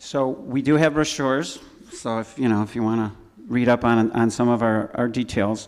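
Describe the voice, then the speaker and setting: A man speaks in a Chicago accent. His intonation is fairly even. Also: medium pitch for a man, moderate pace. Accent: Chicago-area American. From Chicago north suburbs, Illinois. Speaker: church scholarship volunteer. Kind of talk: informal presentation to congregation. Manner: halting, many fillers and restarts.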